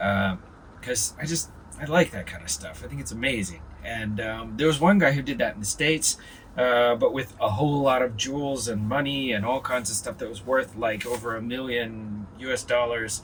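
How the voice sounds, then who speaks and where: Speaking at medium pitch and a moderate pace, a man uses lively intonation while noticeable background noise plays behind him. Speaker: vlogger. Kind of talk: casual vlog monologue. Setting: in a parked van.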